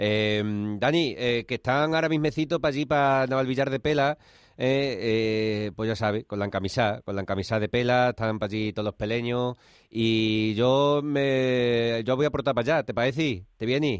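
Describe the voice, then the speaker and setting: A man talks at a moderate pace in a medium pitch. He has an unremarkable speaking voice with ordinary pitch variation. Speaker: radio host. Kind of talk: casual radio chat.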